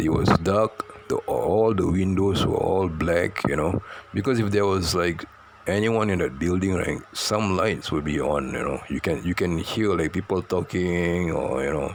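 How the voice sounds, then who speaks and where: A man speaks at a fairly slow pace in a very deep, low pitch with ordinary pitch variation, over noticeable background noise. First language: Malay. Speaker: storyteller. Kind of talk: personal storytelling. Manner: halting, many fillers and repetitions.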